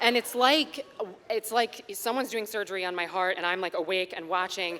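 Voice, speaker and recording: Over noticeable background noise, a woman speaks at a fairly quick pace in a medium pitch with ordinary pitch variation. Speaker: storyteller. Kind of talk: live storytelling performance. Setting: live venue with audience. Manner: animated, conversational.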